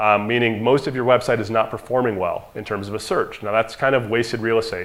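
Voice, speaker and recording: The speaker goes at a very fast pace with fairly even intonation. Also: man, medium pitch for a man. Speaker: marketing agency owner presenting to dentists. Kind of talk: conference presentation. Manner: casual, conversational.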